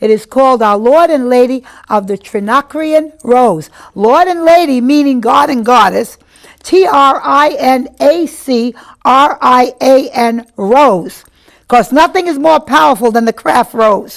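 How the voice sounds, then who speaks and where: A high-pitched woman's voice, animated in tone, with lively intonation and a fairly slow pace. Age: 60s. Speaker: witch and psychic, coven leader. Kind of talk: interview.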